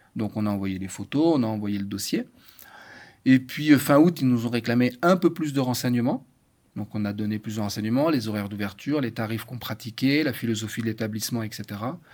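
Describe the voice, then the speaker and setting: On a very clean recording with a silent background, a man speaks in an unremarkable speaking voice at medium pitch with ordinary pitch variation. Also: fairly quick pace. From France. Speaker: chef. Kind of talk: casual chat.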